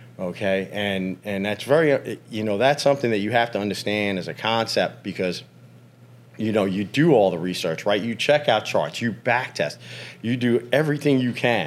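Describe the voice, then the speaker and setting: A man's normal speaking voice, fairly low in pitch with ordinary pitch variation, at a moderate pace on a very clean recording with a silent background. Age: 50s. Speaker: professional trader. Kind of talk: casual chat.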